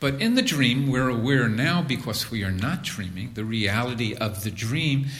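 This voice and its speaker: Noticeable background noise sits under a man's medium-pitched voice. Room echo is audible. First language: English (speaking German). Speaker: spiritual teacher. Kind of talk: lecture. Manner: slow, in short phrases.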